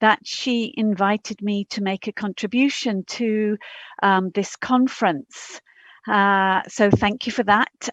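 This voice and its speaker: A woman with an English accent talks at a fairly slow pace in a fairly high pitch, with ordinary pitch variation. The sound is dry and close with no echo, over a quiet background. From England. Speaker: professor. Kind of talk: conference talk. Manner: halting.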